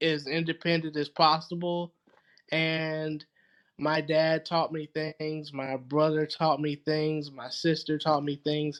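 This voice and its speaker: A man's fairly high voice at a very slow pace against a quiet background. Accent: Southern US. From US South, Georgia. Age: 30s. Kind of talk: podcast interview.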